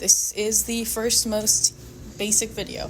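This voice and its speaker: Background noise is noticeable here. A woman does the talking. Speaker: drawing tutorial video maker. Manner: stutters.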